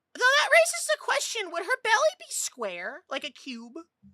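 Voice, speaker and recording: In a put-on character voice, a woman squeaks at an extremely high pitch and a moderate pace, the sound dry and close with no echo. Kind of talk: casual streamer chatter. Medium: virtual streamer. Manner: fast, rambling, stammering.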